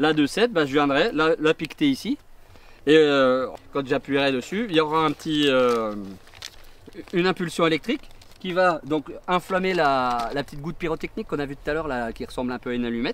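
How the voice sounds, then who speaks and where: This man talks at a fairly quick pace in a fairly high pitch, his intonation lively and broken by long, frequent pauses. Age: 40s. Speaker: fireworks technician. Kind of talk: interview explaining his work on site. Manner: hesitant, many fillers.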